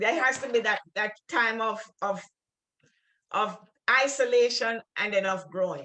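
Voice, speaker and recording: With a strong Jamaican accent, a woman speaks fairly slowly in a bright, sharp tone at a fairly high pitch, with ordinary pitch variation and long, frequent pauses. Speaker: writer and refugee worker. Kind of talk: literary conversation. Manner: halting, many repeated words.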